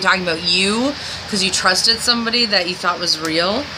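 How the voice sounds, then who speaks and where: The speech has ordinary pitch variation. Noticeable background noise is present. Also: woman. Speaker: video blogger. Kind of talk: video diary monologue.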